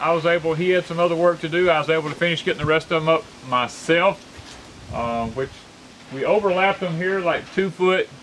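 Faint background noise sits behind a man speaking at a fairly quick pace. His voice is fairly high-pitched and fairly bright in tone, with ordinary pitch variation.

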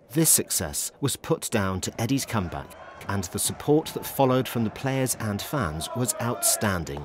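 Very wide pitch swings from a man, set against noticeable background noise. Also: medium pitch for a man, moderate pace. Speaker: documentary narrator. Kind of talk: documentary narration.

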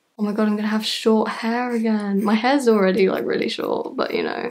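A woman's fairly high voice in a monotone, flat intonation at a fairly quick pace. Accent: British. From United Kingdom. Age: young. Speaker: YouTuber. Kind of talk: casual talk to camera. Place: home room. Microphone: phone near.

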